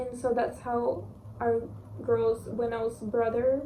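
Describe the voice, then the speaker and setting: Speaking very slowly in a Russian accent, a woman with a high pitch is heard over noticeable background noise and audible room echo. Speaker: book reviewer. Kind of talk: casual book review vlog. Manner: casual, with fillers and restarts.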